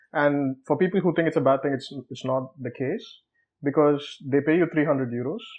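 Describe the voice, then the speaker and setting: A fairly high male voice with a Tamil accent, fairly even intonation, and a fairly quick pace. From South India (Tamil Nadu). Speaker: researcher. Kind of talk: interview. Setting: studio. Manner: conversational, informal.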